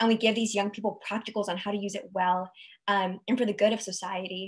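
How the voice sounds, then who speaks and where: The background is quiet. A woman speaks with fairly even intonation. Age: 20s. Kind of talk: panel discussion on video call. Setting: video call webinar. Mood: warm, engaged. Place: home room. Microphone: video call.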